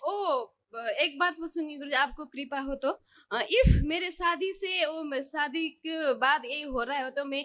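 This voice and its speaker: A woman speaks in a high voice with a Nepali accent. Her tone is bright and sharp, and her pitch moves in an ordinary way. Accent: Nepali-accented Hindi. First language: Nepali (speaking Hindi). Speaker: devotee seeking healing. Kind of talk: testimony. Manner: halting.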